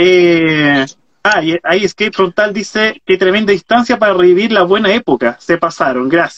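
Against a quiet background, a man with a high pitch speaks at a moderate pace with ordinary pitch variation and very even loudness. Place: home room. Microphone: video call.

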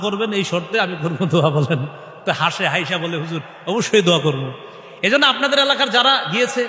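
A man speaks in a raised, projected voice with lively intonation. The room echo is audible, and there is noticeable background noise. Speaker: Islamic preacher. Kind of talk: sermon.

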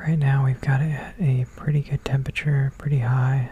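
A man whispering, soft-spoken, at a moderate pace, in a dry sound with no echo and light background noise. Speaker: ASMR creator. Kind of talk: casual talk to camera, cooking demo. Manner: soft-spoken, whispered. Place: kitchen.

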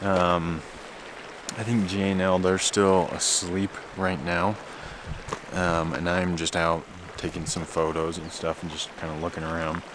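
Over noticeable background noise, a man with a very deep, low pitch talks at a fairly slow pace. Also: dry sound with no echo. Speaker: backpacking vlogger. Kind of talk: casual vlog chat. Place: waterside. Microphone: phone near.

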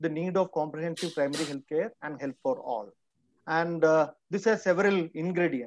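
The voice moves at a moderate pace, with light background noise and a dry sound that has no echo. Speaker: webinar panelist. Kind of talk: talk in an online panel session. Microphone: video call.

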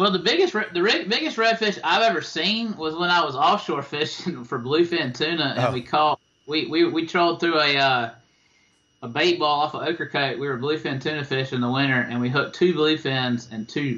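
In an eastern North Carolina accent, a man talks at a moderate pace with a fairly high pitch and lively intonation. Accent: eastern North Carolina Southern. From eastern North Carolina (Tarboro). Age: 40s. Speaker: fishing guide. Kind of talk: interview. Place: home room. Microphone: video call.

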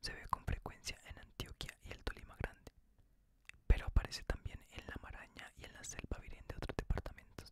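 Soft-spoken whispering at a moderate pace, dry with no echo, over noticeable background noise. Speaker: reader of legends. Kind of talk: reading aloud, ASMR storytelling. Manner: soft whispered ASMR book reading.

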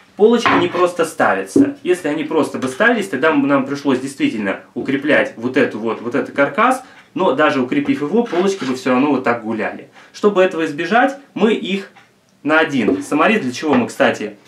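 A man speaks fairly quickly, with audible room echo and light background noise. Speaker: presenter. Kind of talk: tutorial. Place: kitchen. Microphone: camera far.

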